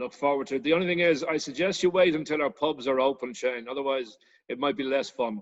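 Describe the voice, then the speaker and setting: At a very fast pace, a man with an Irish accent speaks at a fairly high pitch with ordinary pitch variation. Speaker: travel business owner. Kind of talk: video interview. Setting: video call.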